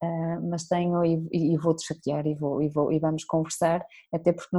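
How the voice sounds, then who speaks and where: A woman speaks at a moderate pace with a fairly low pitch. Her tone is dark and mellow, her intonation monotone and flat. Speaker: podcast host. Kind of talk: interview.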